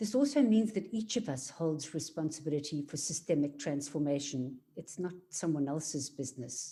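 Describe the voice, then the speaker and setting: Speaking with a South African accent, a woman has a very deep, low pitch and a dark, mellow, somewhat breathy tone. She moves at a moderate pace with lively intonation and hardly any pauses. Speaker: equality and diversity facilitator. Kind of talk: workshop presentation.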